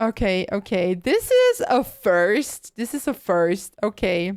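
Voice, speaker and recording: A woman at medium pitch, in a very clean recording with a silent background. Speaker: VTuber streamer. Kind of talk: live gaming stream chat. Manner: quiet.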